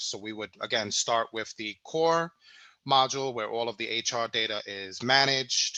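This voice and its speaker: A man speaks at a moderate pace with an American accent. His voice sits at a medium pitch, with a bright, sharp tone. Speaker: software product specialist. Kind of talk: product demo webinar. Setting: online webinar.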